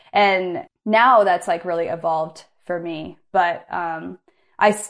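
A woman with an American accent speaks at a medium pitch with ordinary pitch variation, in a plain, everyday voice. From US Pacific Northwest (Bend, Oregon). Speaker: climber and photographer. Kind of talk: casual interview chat. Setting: internet call.

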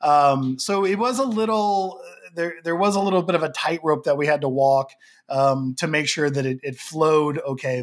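Speaking in an unremarkable speaking voice with an American accent, a man keeps a moderate pace and a fairly high pitch with ordinary pitch variation. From Oklahoma. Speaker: film director. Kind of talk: interview.

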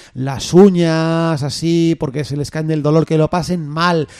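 A man's dark, mellow voice, fairly high in pitch, with ordinary pitch variation. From Castile, Spain. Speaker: community radio host. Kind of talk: casual chat.

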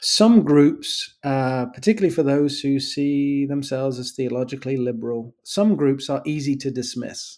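A man with an East Midlands accent talks with hardly any pauses. His pitch is fairly high, with ordinary variation. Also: moderate pace. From England, Nottingham (East Midlands). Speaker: professor of literature and theology. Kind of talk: interview.

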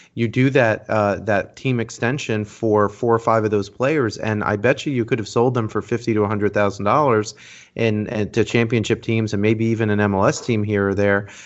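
A man talks at a fairly quick pace. He barely pauses at all. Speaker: soccer podcast host. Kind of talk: casual banter, sports talk podcast.

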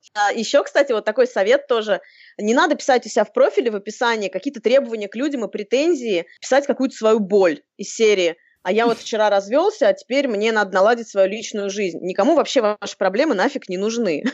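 A plain, everyday voice, fairly brisk, its pitch varying in an ordinary way. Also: woman, fairly high pitch for a woman. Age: 30s. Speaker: author and blogger on dating. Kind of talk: casual chat. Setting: video call.

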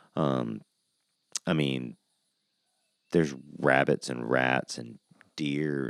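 This is a man speaking. He has an American accent. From US South (Georgia). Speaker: podcast host, cannabis grower. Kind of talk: solo podcast monologue. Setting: recorded on a porch. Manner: casual, many fillers.

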